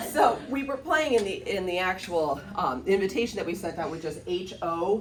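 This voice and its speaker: A woman with a Michigan accent speaks with lively intonation. Noticeable background noise and audible room echo are present. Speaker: real estate agent. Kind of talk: presentation. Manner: casual, filler-heavy.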